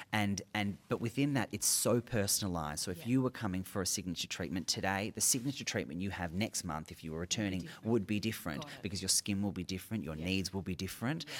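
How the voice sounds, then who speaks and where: An Australian accent from a man at a very fast pace with hardly any pauses, in a very clean recording with a silent background. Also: fairly low pitch for a man, ordinary pitch variation. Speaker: dermal clinician. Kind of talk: casual interview. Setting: at a conference.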